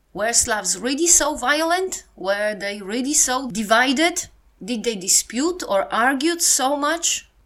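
Speaking at a fairly slow pace, a woman with a Polish accent and a high pitch makes very wide pitch swings. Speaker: podcast presenter. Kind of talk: scripted-style podcast narration on history and culture.

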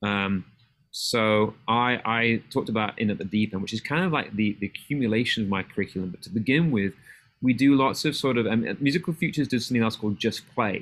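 Very fast, a man speaks with an English accent at a medium pitch and with ordinary pitch variation. The recording is very clean, with a silent background. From England. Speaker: middle school music teacher. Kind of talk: casual chat.

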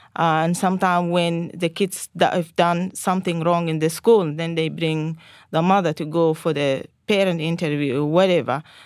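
On a very clean recording with a silent background, a woman with a Sudanese accent speaks at a moderate pace in a fairly low pitch with fairly even intonation. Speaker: Salvation Army officer. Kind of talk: casual chat. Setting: studio.

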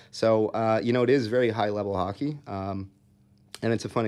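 A man with an American accent speaks with a fairly even intonation. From Minnesota, US Midwest (Eagan). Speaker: youth hockey coach and former college player. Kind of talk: casual interview chat. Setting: studio. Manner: halting, many fillers.

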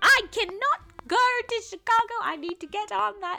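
A squeaky, female-sounding put-on character voice in a British accent, pitched extremely high. It moves at a moderate pace.

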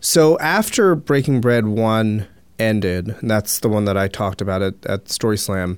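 A man with an American accent and a plain, everyday voice, at a moderate pace with ordinary pitch variation, on a very clean recording with a silent background. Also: fairly low pitch for a man. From Philadelphia area. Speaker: public market manager. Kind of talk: interview.

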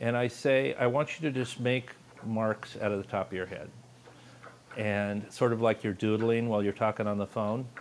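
In an American accent, a man uses an ordinary speaking voice at a medium pitch, moving at a moderate pace with fairly even intonation. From Los Angeles. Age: 60s. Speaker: artist and teacher. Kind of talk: casual chat.

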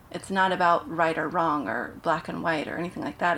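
With an American accent, a woman at fairly low pitch uses an ordinary speaking voice at a moderate pace. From US Pacific Northwest (Portland, Oregon). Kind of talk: casual chat.

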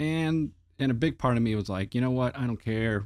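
With an American accent, a man speaks at a medium pitch with ordinary pitch variation. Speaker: movie podcast co-host, former model shop prop maker. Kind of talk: casual chat.

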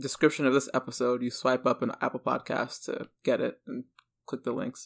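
A man's fairly high-pitched, normal speaking voice at a moderate pace, on a very clean recording with a silent background. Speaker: podcast host. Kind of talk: conversational interview.

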